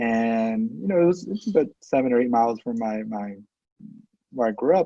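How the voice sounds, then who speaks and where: A man's medium-pitched, dark, mellow voice at a moderate pace, with ordinary pitch variation and a dry, close sound with no echo. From Los Angeles, Boyle Heights. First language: Spanish. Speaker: professor. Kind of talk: interview.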